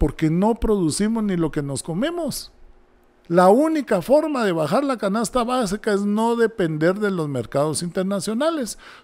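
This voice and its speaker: This man's high pitch makes very wide swings as he talks at a fairly slow pace. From Guatemala. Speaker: presidential candidate; candidate. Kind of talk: interview. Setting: studio. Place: studio. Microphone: studio mic.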